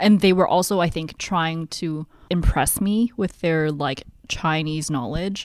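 Here a woman with a Canadian accent uses a normal speaking voice, fairly low in pitch with ordinary variation. She goes at a fairly slow pace, recorded very cleanly against a silent background. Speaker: podcast co-host. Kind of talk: casual chat. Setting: home basement, recording in person.

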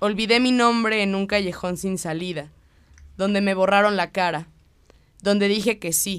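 Speaking at a fairly slow pace, a woman uses fairly even intonation at a medium pitch. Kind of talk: spoken word poetry reading. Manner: declamatory, rhythmic, impassioned delivery.

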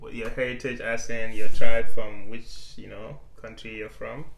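Against music in the background, a man talks at a very slow pace with a medium pitch and fairly even intonation. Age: 20s. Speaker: podcast co-host. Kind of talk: casual chat.

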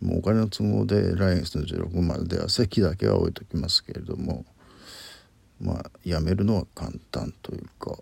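A man with a very deep, low pitch speaks with vocal fry and very wide pitch swings. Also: moderate pace. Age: 50s. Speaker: podcaster. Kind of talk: solo monologue. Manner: halting.

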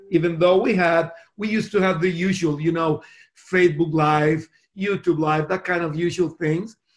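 Music plays behind a man with a high voice. His intonation is fairly even. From Costa Rica. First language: Spanish. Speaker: pastor. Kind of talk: interview. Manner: halting.

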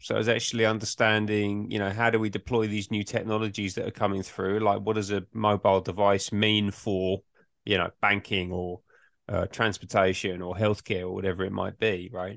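Fairly low in pitch, a man with an English accent speaks at a fairly quick pace. His intonation stays monotone and flat. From England. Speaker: management consultant. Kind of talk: interview.

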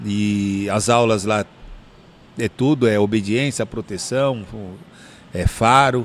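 Very slowly, a man speaks in a fairly low pitch with fairly even intonation. He leaves long, frequent pauses. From São Paulo, Brazil (Ipiranga). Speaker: dog trainer. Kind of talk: casual interview.

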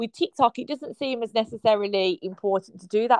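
A woman talks at a fairly quick pace with a British accent. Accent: regional British. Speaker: podcast host. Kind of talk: casual interview.

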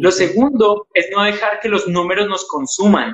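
At a moderate pace, a man talks in a high pitch. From Colombia. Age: 30s. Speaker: youth pastor. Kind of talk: interview conversation.

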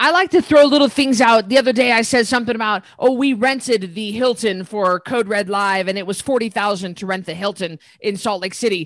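A plain, everyday voice with an American accent, at a fairly quick pace with hardly any pauses, ordinary pitch variation and a quiet background. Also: woman, fairly high pitch for a woman. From US, northern Idaho. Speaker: fitness entrepreneur and former boxer. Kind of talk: interview.

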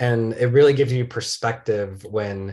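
In an American accent, a somewhat breathy man talks at a fairly slow pace with fairly even intonation. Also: quiet background. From Michigan, small town. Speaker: documentary filmmaker. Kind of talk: interview. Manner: repeats words, slight stammer on starts.

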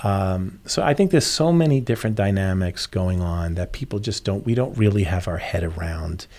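In an American accent, a man with a fairly low pitch and a normal speaking voice talks at a moderate pace with lively intonation, on a very clean recording with a silent background. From New York. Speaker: charity development director. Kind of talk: casual interview chat.

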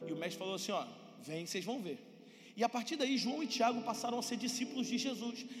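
A man talks fairly quickly in an extremely high pitch, his tone animated. Music plays in the background, and the room echo is audible. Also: ordinary pitch variation. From Brazil. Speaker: pastor. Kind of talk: sermon.

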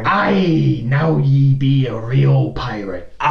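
A put-on character voice moves at a very slow pace with a slight echo.

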